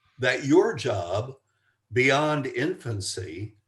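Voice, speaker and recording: Somewhat breathy male voice against a quiet background. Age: 70s. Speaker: family psychologist and author. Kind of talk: podcast interview. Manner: halting, with frequent repetitions.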